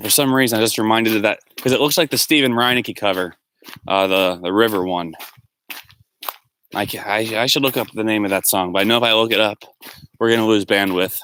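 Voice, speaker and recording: Loud and very fast, a man with a fairly low pitch and a bright, sharp tone speaks, broken by long, frequent pauses. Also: ordinary pitch variation. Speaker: livestreamer. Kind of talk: casual chat. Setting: outdoors.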